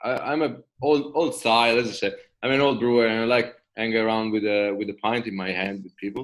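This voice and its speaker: A man talks with an Italian accent at a fairly quick pace. His pitch is medium. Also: ordinary pitch variation. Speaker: craft brewer. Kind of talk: casual chat. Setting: video call.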